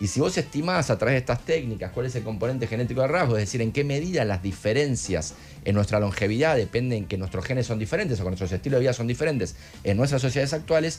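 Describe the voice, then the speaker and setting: Music plays in the background as a man speaks with a Rioplatense accent. He talks at a very fast pace with lively intonation. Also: medium pitch for a man. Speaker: neuroscientist guest. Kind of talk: casual chat.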